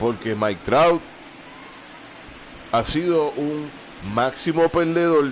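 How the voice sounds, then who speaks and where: With a Puerto Rican accent, a man speaks in a lively, varied tone against noticeable background noise. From Puerto Rico. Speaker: gamer. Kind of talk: live gameplay commentary. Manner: casual.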